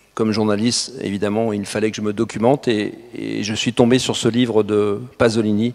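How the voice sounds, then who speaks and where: The delivery is monotone, with flat intonation. It moves at a fairly slow pace. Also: man. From France. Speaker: journalist and photographer. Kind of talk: talk to an audience. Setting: hall with audience. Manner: hesitant, many fillers.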